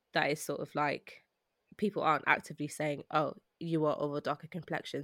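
On a very clean recording with a silent background and a dry, close sound with no echo, a woman with a South London accent speaks at a fairly quick pace in a very deep, low pitch with monotone, flat intonation. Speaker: producer and writer. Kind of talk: casual chat.

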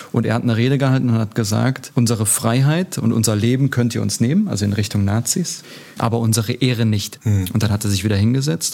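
The speaker is a man with a medium pitch. He talks very fast, with ordinary pitch variation. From Germany, Turkish guest-worker family. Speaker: politician. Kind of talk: interview.

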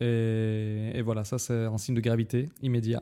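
A man with a Russian accent, a dark, mellow tone, medium pitch and fairly even intonation. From Dagestan, Russia. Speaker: guest, medical student. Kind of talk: casual chat.

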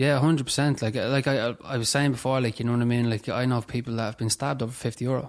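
In a Dublin accent, the speaker rushes along at a very fast pace with hardly any pauses, on a very clean recording with a silent background. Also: man, medium pitch for a man, fairly even intonation. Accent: Dublin Irish. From Dublin, Ireland (Tallaght area). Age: 20s. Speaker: person in addiction recovery. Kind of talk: testimony in interview.

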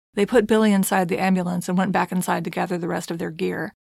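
A woman speaks at a fairly quick pace and medium pitch, with vocal fry and fairly even intonation. The recording is very clean with a silent background, and the sound is dry and close with no echo. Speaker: true crime podcast host. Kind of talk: scripted narration.

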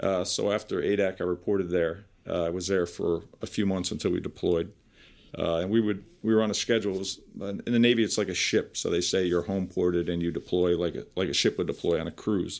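At a very fast pace and with fairly even intonation, a speaker with an American accent is heard in a very clean recording with a silent background. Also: man, very deep, low pitch for a man. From New Jersey, Piscataway. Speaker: vocational teacher and former navy builder. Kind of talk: interview. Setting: recorded interview.

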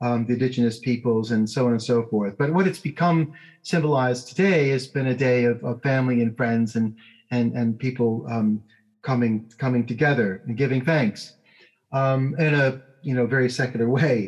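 A man speaks with ordinary pitch variation and very even loudness. There is music in the background. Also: medium pitch for a man, moderate pace. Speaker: law professor and policy author. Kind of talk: interview discussing policy. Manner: halting, repeats words.

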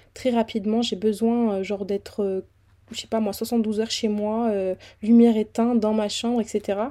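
On a very clean recording with a silent background, a woman speaks at a moderate pace in a fairly high pitch, with a dark, mellow tone and monotone, flat intonation. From southern France (Fréjus). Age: 20s. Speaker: podcaster. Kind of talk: casual monologue. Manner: casual, conversational.

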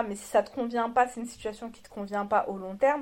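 This woman's fairly high pitch carries a fairly even intonation. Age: 30s. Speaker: married woman sharing her marriage story. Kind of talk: interview testimony. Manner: halting.

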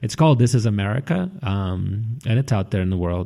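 There is a somewhat breathy quality to the man's speech. The rise and fall of his pitch is ordinary. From Russia. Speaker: violinist. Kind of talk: live on-stage interview. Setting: stage with audience. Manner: halting, many fillers.

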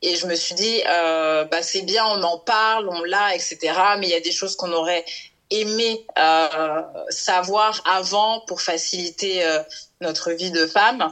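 Very slow speech from a woman, medium in pitch and fairly even in intonation. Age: 30s. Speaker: marketing worker and women's health association founder. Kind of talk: interview. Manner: halting, many fillers.

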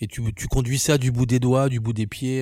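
A medium-pitched man speaks at a moderate pace with fairly even intonation on a very clean recording with a silent background. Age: 30s. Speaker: photographer and filmmaker. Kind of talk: casual personal testimony.

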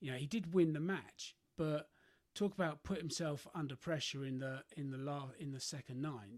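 This man talks at a moderate pace, his pitch fairly high and his pitch variation ordinary. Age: 50s. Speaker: golf podcast host. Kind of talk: solo podcast monologue. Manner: halting, many fillers.

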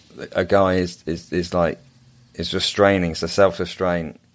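A man speaks in an English accent with a very deep, low pitch. His delivery is fairly slow, with monotone, flat intonation. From England. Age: 30s. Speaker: men's coach and entrepreneur. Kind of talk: casual interview chat.

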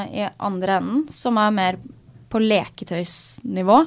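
A woman speaks at a very slow pace in a medium pitch. The recording is very clean, with a silent background. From Norway, Asker (near Oslo). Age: 20s. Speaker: tech startup founder. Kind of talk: interview. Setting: studio.

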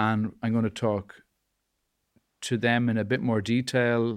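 Here is a man with an Irish accent. He talks at a moderate pace and a medium pitch. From Ireland. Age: 40s. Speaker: podcast host. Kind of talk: casual chat.

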